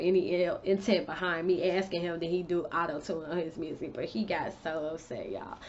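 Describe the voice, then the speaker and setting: A woman speaks at a fairly quick pace in a fairly low pitch. It is an ordinary speaking voice. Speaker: beauty and lifestyle vlogger. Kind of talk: casual storytime vlog.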